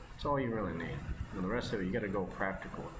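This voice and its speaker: Amid noticeable background noise and audible room echo, a man with an American accent speaks with ordinary pitch variation. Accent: Americanized. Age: 30s. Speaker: mobile game streamer. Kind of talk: casual gameplay commentary. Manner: fast; rambling, hesitant with fillers.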